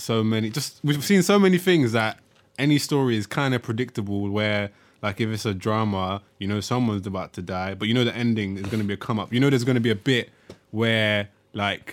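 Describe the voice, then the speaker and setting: With a London accent, a man speaks at a fairly low pitch with ordinary pitch variation. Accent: London multicultural English. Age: 20s. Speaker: podcast co-host. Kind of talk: casual chat.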